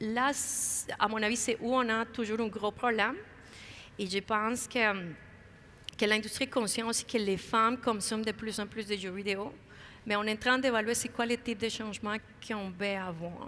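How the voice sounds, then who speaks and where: With long, frequent pauses at a moderate pace, a woman speaks at a fairly high pitch, her bright, sharp tone kept in fairly even intonation. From outside Quebec. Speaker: video game industry figure. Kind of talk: panel interview. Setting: conference main stage. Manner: halting.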